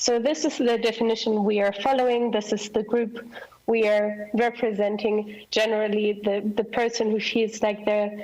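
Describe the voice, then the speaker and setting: Over noticeable background noise, a woman with a fairly high pitch speaks at a moderate pace in a monotone, flat intonation, with very even loudness and hardly any pauses. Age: 20s. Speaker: youth delegate. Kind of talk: presentation.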